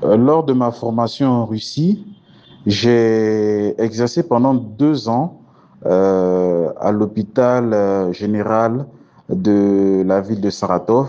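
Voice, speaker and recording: A man's medium-pitched voice, dark and mellow in tone, at a very slow pace, with very even loudness and ordinary pitch variation. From Côte d'Ivoire. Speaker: cardiovascular surgeon. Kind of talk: interview.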